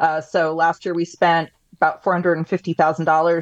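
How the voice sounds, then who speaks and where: Recorded dry and close with no echo, a woman with an American accent speaks at a fairly low pitch. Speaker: advocacy group president. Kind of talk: panel discussion. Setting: remote connection.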